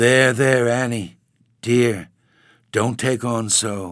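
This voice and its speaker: A man speaks in a put-on character voice at a medium pitch. His delivery is shaky and very slow. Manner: timid, consoling.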